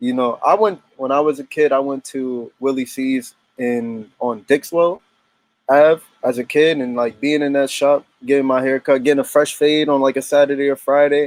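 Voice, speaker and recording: In an American accent, the speaker keeps a fairly even intonation in a dry, close sound with no echo. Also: man, fairly high pitch for a man, moderate pace. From US Northeast, Connecticut (New Haven area). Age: 20s. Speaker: photographer. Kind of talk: interview. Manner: casual, halting with fillers.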